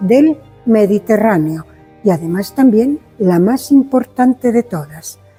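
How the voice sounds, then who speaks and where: Music plays in the background as a woman speaks. Her fairly high voice makes very wide pitch swings. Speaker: museum guide. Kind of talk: guided museum tour explanation.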